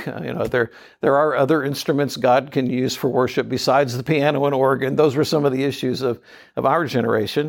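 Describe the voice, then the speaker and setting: Intonation stays fairly even as the words come at a fairly quick pace. Behind them the background is silent, and the recording is very clean. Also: man. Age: 60s. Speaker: church small group pastor. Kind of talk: talk to a live group. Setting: conference breakout room with audience. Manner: halting with many fillers.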